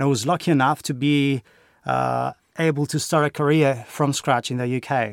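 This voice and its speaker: A man with a Greek accent and fairly even intonation, on a very clean recording with a silent background. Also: moderate pace. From Greece. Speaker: university lecturer and games course leader. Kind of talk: interview conversation. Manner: hesitant, filler words.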